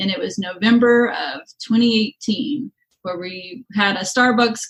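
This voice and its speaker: A woman speaks with lively intonation at a fairly high pitch. Her voice is somewhat breathy. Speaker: high school teacher and podcast co-host. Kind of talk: casual chat.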